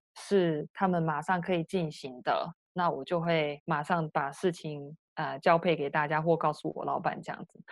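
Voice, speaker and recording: A woman speaks with a Taiwanese accent. Her pitch is very deep and low, and her intonation stays fairly even. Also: moderate pace, big swings in loudness. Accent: Taiwanese Mandarin. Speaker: remote worker in digital marketing. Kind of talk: interview.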